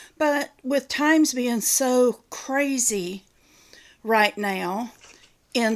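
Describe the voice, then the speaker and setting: In a very clean recording with a silent background, a woman with a Southern accent speaks at a fairly high pitch. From US South. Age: 60s. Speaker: retiree YouTuber. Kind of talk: casual show-and-tell video. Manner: folksy, chatty.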